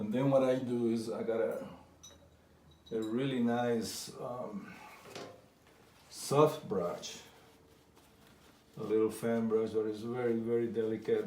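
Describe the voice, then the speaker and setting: A man speaks at a medium pitch with a slight non-native accent, and the room echo is audible. His intonation is fairly even, his pace very slow, with long, frequent pauses. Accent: foreign accent, slight. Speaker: painter. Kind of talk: painting tutorial. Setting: art studio. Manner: halting.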